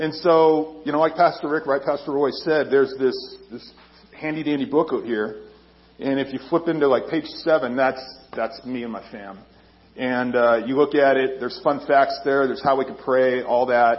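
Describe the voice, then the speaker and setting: Noticeable background noise runs under the speech. The pace is moderate, with ordinary pitch variation. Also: man, fairly high pitch for a man. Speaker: army chaplain. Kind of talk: sermon. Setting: church. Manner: loud.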